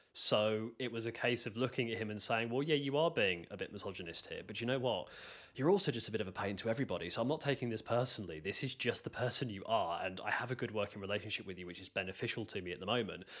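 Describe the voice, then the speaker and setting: Very fast pace with hardly any pauses from a man with a British accent, medium pitch and ordinary pitch variation. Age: 30s. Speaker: software developer. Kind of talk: interview. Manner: halting, many fillers.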